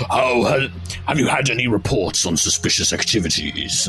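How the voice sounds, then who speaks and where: A man uses a booming, put-on character voice at a medium pitch and moderate pace, with clear background noise behind him. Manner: authoritative, looming.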